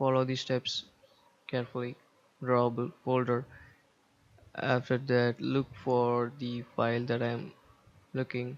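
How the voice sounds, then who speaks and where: A man with a non-native accent speaks at a fairly slow pace, leaving long, frequent pauses. His medium-pitched delivery is monotone and flat over a quiet background. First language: not English. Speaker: tech tutorial youtuber. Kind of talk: tutorial. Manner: halting, many fillers.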